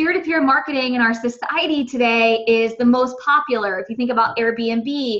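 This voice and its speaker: A woman speaks with a high pitch. Her pitch variation is ordinary. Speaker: network marketing coach. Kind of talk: training presentation. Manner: fast.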